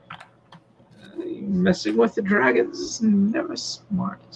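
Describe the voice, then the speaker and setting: In a put-on character voice, a man speaks at a very slow pace with a high pitch. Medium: actual play.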